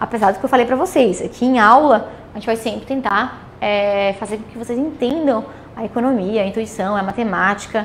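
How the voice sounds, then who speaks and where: Speech from a woman with ordinary variation in pitch, noticeable background noise and audible echo from the room. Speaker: economics teacher. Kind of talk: lecture. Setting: classroom with students, also streamed. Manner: fast; animated.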